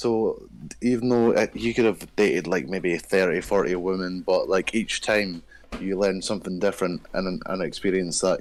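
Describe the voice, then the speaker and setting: With a Scottish accent, a man speaks at a moderate pace in a very deep, low voice with fairly even intonation. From Scotland. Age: 20s. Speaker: dating show guest. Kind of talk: casual chat.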